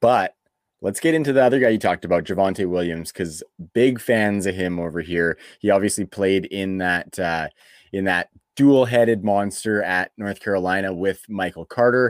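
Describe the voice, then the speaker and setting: With a Canadian accent, a plain, everyday voice comes through on a very clean recording with a silent background. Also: man, fairly low pitch for a man, ordinary pitch variation, moderate pace, dry, close sound with no echo. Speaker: fantasy football podcast host. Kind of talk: casual chat. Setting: home studio.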